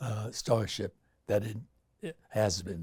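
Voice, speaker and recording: Over a very clean recording with a silent background, a man speaks in an American accent at a medium pitch and fairly slow pace, his tone dark and mellow and somewhat breathy. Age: 80s+. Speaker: actor and activist. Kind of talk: interview answer.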